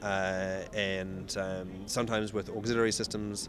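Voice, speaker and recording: A man's voice over noticeable background noise. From New Zealand. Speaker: ocean racing sailor. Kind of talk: interview. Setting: outdoors. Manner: halting.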